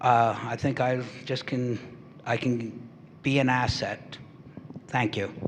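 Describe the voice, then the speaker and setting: Against noticeable background noise, a man of medium pitch speaks at a very slow pace in a monotone, flat intonation with long, frequent pauses. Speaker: political candidate, fire chief. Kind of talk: closing statement at candidate forum. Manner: halting.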